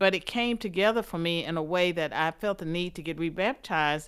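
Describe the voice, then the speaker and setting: On a very clean recording with a silent background, a woman with a Southern US accent speaks at a moderate pace, at medium pitch with ordinary pitch variation. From US South. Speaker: political scientist and author. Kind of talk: interview.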